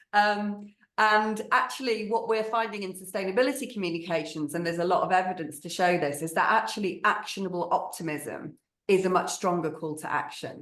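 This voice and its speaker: Talking at a fairly quick pace, a woman with a northern English accent keeps a medium pitch and ordinary pitch variation. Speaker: marketing agency strategist. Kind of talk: webinar panel discussion.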